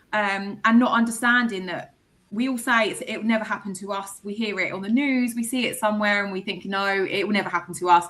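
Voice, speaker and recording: Very fast speech from a woman with an English accent, medium in pitch, bright and sharp, with fairly even intonation. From England. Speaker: microchip company representative. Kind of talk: podcast interview.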